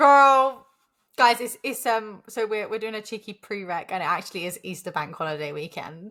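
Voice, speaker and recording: A woman speaks at a moderate pace with a bright, sharp tone, fairly high pitch and lively intonation. The recording is very clean with a silent background. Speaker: podcast co-host. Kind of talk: casual chat. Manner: animated.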